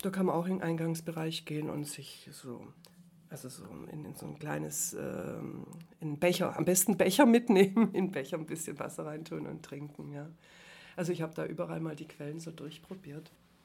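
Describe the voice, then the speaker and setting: With vocal fry and a very deep, low pitch, a woman speaks with ordinary pitch variation and big swings in loudness. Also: moderate pace. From Herrenberg, Swabia (southwest Germany). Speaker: former journalist. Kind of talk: casual interview. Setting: coworking space.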